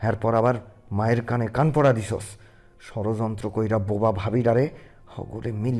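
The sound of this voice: An unforced reading voice is heard here. The intonation stays fairly even.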